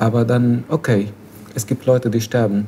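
With an Arabic accent, a man speaks at medium pitch and a fairly slow pace. His tone is dark, mellow and somewhat breathy. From Syria. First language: Arabic (speaking German). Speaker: refugee activist. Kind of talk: casual discussion. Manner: halting.

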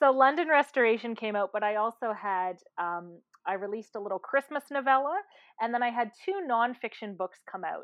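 A woman's ordinary speaking voice, fairly high in pitch, with lively intonation and a fairly quick pace. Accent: Canadian. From Canada. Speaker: novelist. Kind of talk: interview.

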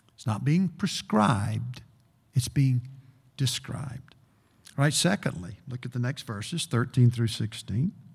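There's vocal fry in this man's medium-pitched voice. He speaks at a fairly slow pace with lively intonation. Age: 60s. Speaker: preacher. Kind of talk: sermon. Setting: church.

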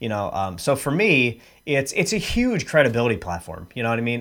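In a very clean recording with a silent background, a man speaks at a fairly quick pace with vocal fry. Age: 30s. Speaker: sales funnel specialist. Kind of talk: interview. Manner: hesitant fillers.

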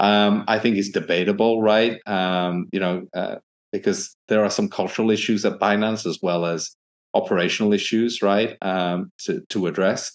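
In a quiet background, a man with a British accent speaks at a moderate pace. His fairly low pitch stays in monotone, flat intonation. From UK. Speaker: crypto investor and entrepreneur. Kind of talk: interview.

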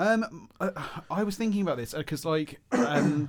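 A man with a southeast English accent, at a moderate pace. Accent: south-east English. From Kent, south-east England. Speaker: podcast co-host. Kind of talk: casual chat.

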